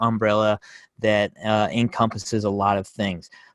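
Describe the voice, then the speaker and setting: A man with a plain, everyday voice speaks at a moderate pace and a fairly low pitch, the sound dry and close with no echo. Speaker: cybersecurity professional giving a talk. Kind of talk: presentation.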